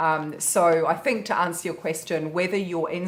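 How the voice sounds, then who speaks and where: A woman with a New Zealand accent speaks at a fairly low pitch and a moderate pace, with ordinary pitch variation. Noticeable background noise runs underneath. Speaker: positive psychotherapist. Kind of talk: casual Q&A chat.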